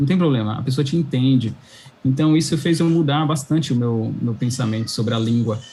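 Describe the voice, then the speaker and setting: A dark, mellow, somewhat breathy voice at a fairly quick pace, very even in loudness, with ordinary pitch variation. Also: man, medium pitch for a man. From São Paulo, Brazil. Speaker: cloud engineer. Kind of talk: interview chat.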